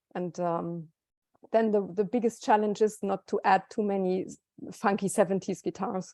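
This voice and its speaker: A woman at a moderate pace and medium pitch, with a dark, mellow tone, fairly even intonation, big swings in loudness and dry, close sound with no echo. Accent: German. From southern Germany. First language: German. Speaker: musician. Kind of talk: interview.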